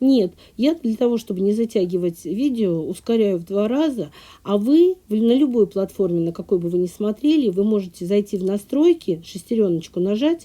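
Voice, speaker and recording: A woman's medium-pitched voice with a dark, mellow tone, lively intonation and a moderate pace, on a very clean recording with a silent background. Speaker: sewing and embroidery tutorial creator. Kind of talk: voiceover for a sewing tutorial, casual chat with viewers. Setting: recording voiceover at a country house. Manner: talkative.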